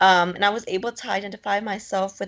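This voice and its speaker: A woman speaks at a medium pitch with vocal fry and fairly even intonation. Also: quiet background. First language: Spanish. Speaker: graduate student fellow. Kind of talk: interview.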